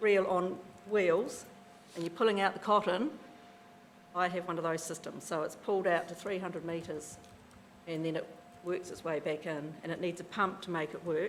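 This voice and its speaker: Speaking at a moderate pace with a New Zealand accent, a woman with a fairly low voice keeps her intonation fairly even and leaves long, frequent pauses. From New Zealand, South Canterbury. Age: 50s. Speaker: farmer. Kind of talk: casual explanation; public hearing submission, reading prepared statement.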